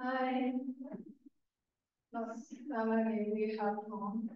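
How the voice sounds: A woman's fairly high voice at a very slow pace, with fairly even intonation, a slightly mellow tone and strong room echo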